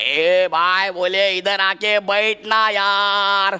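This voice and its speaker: A put-on character voice at a middle pitch. The delivery is monotone, with flat intonation. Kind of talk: casual. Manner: comic, improvised.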